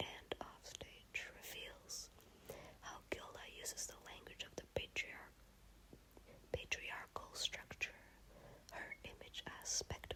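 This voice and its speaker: Noticeable background noise runs under a whisper delivered at a fairly slow pace. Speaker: ASMR reader. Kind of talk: ASMR encyclopedia reading. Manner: whispered; calm, neutral.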